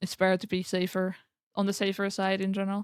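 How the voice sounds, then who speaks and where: Speaking at a fairly quick pace, a woman with a slight non-native accent uses a medium pitch. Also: very clean recording, silent background. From Europe. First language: not English. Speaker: streamer. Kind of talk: casual chat. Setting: live stream.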